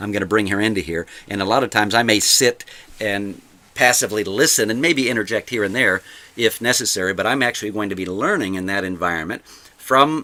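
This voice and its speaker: A man's bright, sharp voice, fairly low in pitch, with ordinary pitch variation, at a very fast pace. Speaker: podcast host and martial arts school owner. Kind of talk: solo podcast monologue. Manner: halting, many repetitions and fillers.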